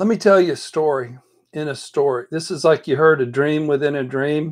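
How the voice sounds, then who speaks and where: Quiet surroundings, with a man talking at a moderate speed. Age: 60s. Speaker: life coach and counselor. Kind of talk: casual chat. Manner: animated.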